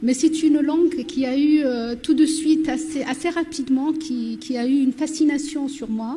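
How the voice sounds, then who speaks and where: Her voice high in pitch with a dark, mellow tone, the woman keeps a moderate pace, fairly even intonation and hardly any pauses. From southern Morocco, Berber oasis village. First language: Berber (Amazigh) (speaking French). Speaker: novelist. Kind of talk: panel discussion.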